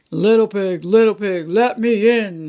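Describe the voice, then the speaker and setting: In a put-on character voice, a man talks at a fairly slow pace with a high pitch. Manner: growling.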